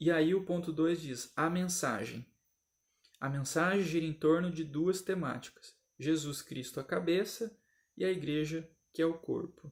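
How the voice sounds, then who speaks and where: This man's voice is high-pitched. He talks at a fairly slow pace. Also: ordinary pitch variation. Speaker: Sunday school Bible teacher. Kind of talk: recorded Bible lesson commentary.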